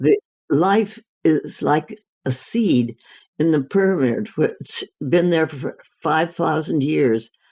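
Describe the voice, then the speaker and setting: A woman speaks at a very slow pace with a very deep, low pitch and a dark, mellow tone. Her intonation is lively, and the sound is dry and close with no echo. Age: 80s+. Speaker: physician. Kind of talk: interview answer.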